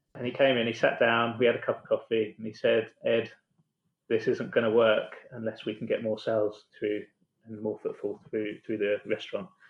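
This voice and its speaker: Keeping a moderate pace, a man talks in an English accent. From England. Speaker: founder of a catering business and coffee academy. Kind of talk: casual podcast interview.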